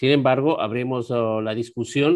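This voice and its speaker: In a quiet background, a man talks at a moderate pace with fairly even intonation. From Ecuador. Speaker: neurosurgeon moderating a webinar; webinar moderator. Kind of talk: panel discussion; moderating panel discussion. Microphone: video call.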